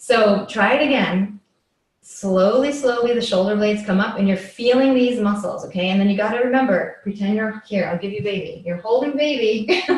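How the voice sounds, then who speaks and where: Audible room echo surrounds a woman speaking at a fairly high pitch with ordinary pitch variation and a moderate pace. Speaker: yoga and movement teacher. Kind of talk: live instructional workshop. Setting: live video session. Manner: casual, filler-heavy.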